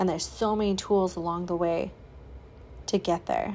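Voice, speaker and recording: Recorded very cleanly against a silent background, a woman with a normal speaking voice talks at a fairly quick pace and a medium pitch. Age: 30s. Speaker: podcast host, spiritual healing coach. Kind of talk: solo podcast monologue. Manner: casual.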